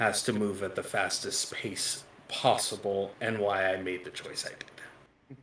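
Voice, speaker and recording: A raspy put-on character voice from a man, at a fairly slow pace. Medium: actual play. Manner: blunt, matter-of-fact.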